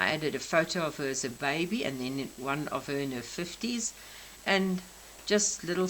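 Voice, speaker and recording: Speaking at a fairly slow pace, a woman with a South African accent has a very deep, low pitch. Room echo can be heard. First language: Afrikaans. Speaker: crafter. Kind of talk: craft show-and-tell. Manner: halting.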